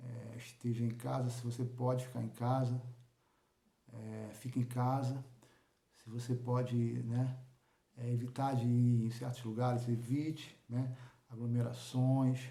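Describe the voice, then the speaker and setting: A man's medium-pitched, somewhat breathy voice, dark and mellow in tone, flat and monotone in intonation, fairly slow with long, frequent pauses and audible room echo. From Rio de Janeiro, Brazil. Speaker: local news vlogger. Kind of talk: informal monologue to viewers. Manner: halting, many repetitions and fillers.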